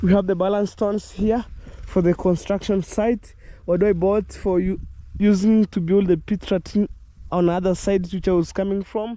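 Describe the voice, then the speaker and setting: Speaking at a moderate pace, a man with a high pitch and a dark, mellow tone keeps a monotone, flat intonation and very even loudness. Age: young. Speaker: vlogger. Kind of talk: casual vlog narration. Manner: hesitant.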